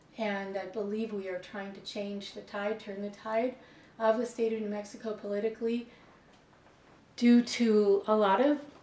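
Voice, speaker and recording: Over noticeable background noise, a woman with a fairly high pitch speaks at a moderate pace with fairly even intonation. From Buffalo, New York. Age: 60s. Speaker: educator. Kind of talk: interview answers. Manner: halting, many fillers.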